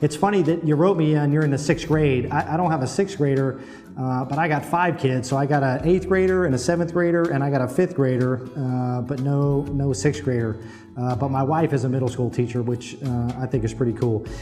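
Over music in the background, a man with a Midwestern American accent and a fairly high pitch speaks at a fairly quick pace with ordinary pitch variation. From Ohio. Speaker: Marine master sergeant. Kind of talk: video letter reply to a child. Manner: casual, friendly, hesitant.

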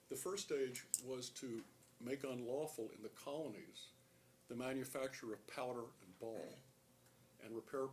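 Speaking at a medium pitch with ordinary pitch variation, the man sounds somewhat breathy. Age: 70s. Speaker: public commenter, lawyer and Vietnam veteran. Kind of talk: public comment at county meeting. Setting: public meeting room. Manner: halting, many uh fillers.

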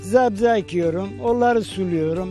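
Clear music plays in the background. A man speaks at a fairly slow pace with ordinary pitch variation. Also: dry sound with no echo. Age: 80s+. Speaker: farmer living alone on island. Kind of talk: interview answer. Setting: outdoors. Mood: calm, content, somewhat wistful. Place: open country. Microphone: handheld.

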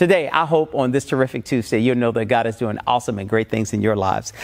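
Over a quiet background, a man's voice shows vocal fry and ordinary pitch variation. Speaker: pastor. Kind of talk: sermon. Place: church. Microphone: lapel.

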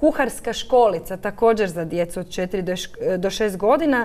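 Her voice fairly high, a woman speaks with lively intonation. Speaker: centre director. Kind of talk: studio interview. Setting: studio. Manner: hesitant, filler words. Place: studio. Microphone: lapel.

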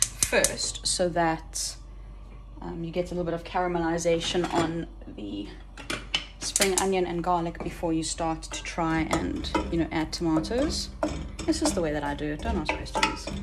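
Fairly slow speech against loud background noise. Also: woman. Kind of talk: casual cooking tutorial. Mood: relaxed, playful. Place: kitchen. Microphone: phone near.

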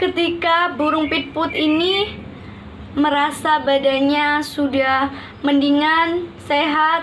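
Amid light background noise, a woman with a high pitch speaks with fairly even intonation. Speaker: storyteller. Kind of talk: storytelling with puppets. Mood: gentle, warm. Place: home room. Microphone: phone near.

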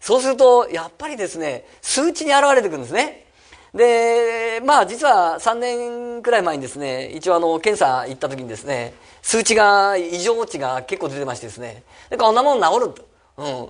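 A man's high-pitched voice at a moderate pace, with very wide pitch swings and big swings in loudness, over a quiet background. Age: 50s. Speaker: real estate company head and seminar speaker; presenter. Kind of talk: seminar talk. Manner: many fillers, halting. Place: meeting room. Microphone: podium.

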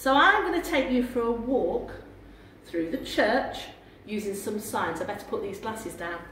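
A woman talks at a moderate pace with long, frequent pauses and very wide pitch swings. Audible room echo and light background noise are present. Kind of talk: tour guide talk to children. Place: church. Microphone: camera far.

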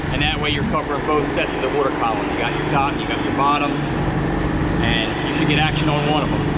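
Loud noise fills the background. A man talks very fast over it. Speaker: fishing guide. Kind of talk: tutorial. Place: boat. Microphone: camera far.

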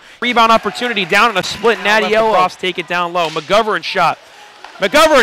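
There is noticeable background noise as a man speaks at a moderate pace. The sound is dry, without echo. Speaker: sports commentator. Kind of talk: live sports commentary over hockey game highlights. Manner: excitable on goals, then relaxed analytical asides. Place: stadium.

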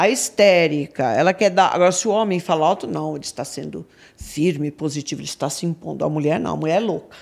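A woman's very deep, low voice with vocal fry, lively intonation and a very fast pace. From Brazil, São Paulo. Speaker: crime analyst. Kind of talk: casual chat. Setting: studio. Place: studio. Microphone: studio mic.

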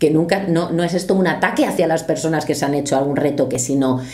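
Against faint background noise, a woman talks at a fast pace with a low pitch, ordinary pitch variation and a slightly mellow tone.

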